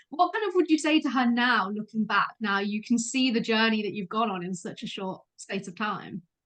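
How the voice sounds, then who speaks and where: A woman's fairly high voice in a British accent, with lively intonation and a moderate pace. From UK. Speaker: podcast host. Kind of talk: casual chat.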